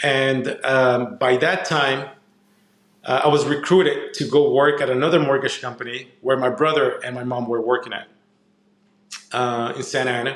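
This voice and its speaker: A man in a Spanish accent speaks at a medium pitch, with audible room echo. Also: fairly even intonation, moderate pace. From Mexico, moved to Southern California as a kid. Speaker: entrepreneur and consultant. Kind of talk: podcast interview.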